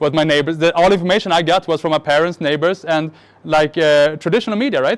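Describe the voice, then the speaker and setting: A man speaks at a high pitch. The sound is dry and close, with no echo. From Sweden, child of Syrian and Lebanese refugees. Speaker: marketing speaker. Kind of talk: keynote presentation. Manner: fast.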